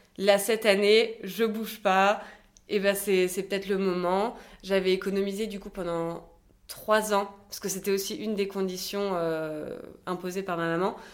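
At a fairly slow pace, a woman of medium pitch talks with monotone, flat intonation. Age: 20s. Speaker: business school student, cosmetic surgery patient. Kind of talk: testimony.

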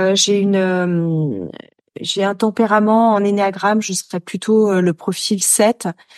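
Against a quiet background, a woman's voice has a dark, mellow tone and a dry, close sound with no echo. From France, Noirmoutier island (Vendée). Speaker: author and media founder. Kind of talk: interview testimony.

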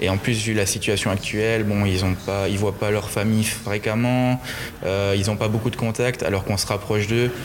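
A man with a fairly low pitch speaks in a monotone, flat intonation at a very even loudness, with noticeable background noise behind him. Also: moderate pace. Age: 20s. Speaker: festival giant bearer. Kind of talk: interview. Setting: museum. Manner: hesitant.

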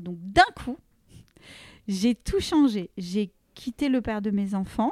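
An ordinary speaking voice from a woman at a fairly slow pace, with lively intonation and a dry, close sound with no echo. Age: 40s. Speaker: fashion entrepreneur. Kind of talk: casual interview.

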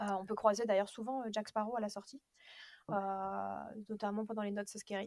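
Her medium-pitched voice is monotone and flat as this woman talks at a moderate pace with long, frequent pauses. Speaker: podcast co-host. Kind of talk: casual chat.

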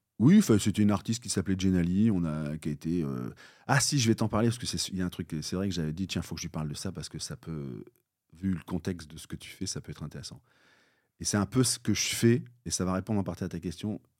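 Over a silent background in a very clean recording, a man with a very deep, low voice talks at a very fast pace, with ordinary pitch variation and big swings in loudness. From Normandy, France (near Bayeux). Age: 50s. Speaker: entrepreneur, former trumpeter. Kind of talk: podcast interview.

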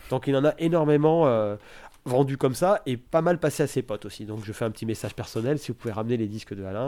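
Speaking very fast, a man has a dark, mellow tone. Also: very clean recording, silent background. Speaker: record shop owner. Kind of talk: interview. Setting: record shop. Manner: hesitant, many fillers.

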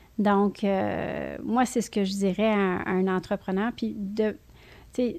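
A woman speaks at a very slow pace with fairly even intonation on a very clean recording with a silent background. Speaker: film company CEO. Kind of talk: interview. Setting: in person studio.

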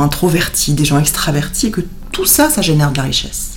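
The woman's voice comes through with audible room echo and noticeable background noise. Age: 40s. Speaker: HR director and operations executive. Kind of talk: interview conversation.

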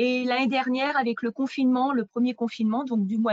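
This woman has a fairly high pitch. Her intonation stays fairly even. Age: 40s. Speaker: real estate agent. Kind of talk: interview. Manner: hesitant, many fillers.

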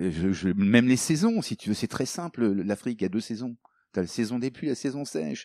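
The voice has a dark, mellow tone and lively intonation, recorded dry and close with no echo. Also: man, very clean recording, silent background. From Africa, then France from boarding school. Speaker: coach and author. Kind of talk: interview.

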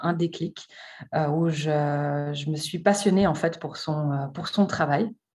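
The recording is very clean with a silent background, and the intonation stays fairly even. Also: woman. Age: 30s. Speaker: art historian and association founder. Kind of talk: interview. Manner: hesitant, many fillers.

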